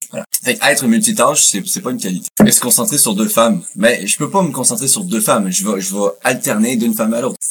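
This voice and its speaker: Speaking at a fairly quick pace in a Quebec accent, a man uses a medium pitch with very wide pitch swings over noticeable background noise. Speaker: podcast host. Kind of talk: casual chat.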